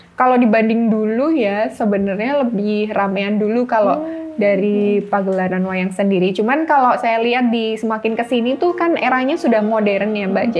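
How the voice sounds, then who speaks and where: A woman talks at a moderate pace with a fairly high pitch, ordinary pitch variation, very even loudness and hardly any pauses, over noticeable background noise. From Yogyakarta, Indonesia. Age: young. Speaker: wayang puppeteer (dalang). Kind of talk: interview answer.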